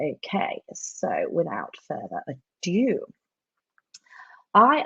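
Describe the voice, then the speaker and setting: The woman is recorded with a dry, close sound that has no echo. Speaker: marketing trainer. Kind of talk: live webinar training. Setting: live online session. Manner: chatty, with fillers.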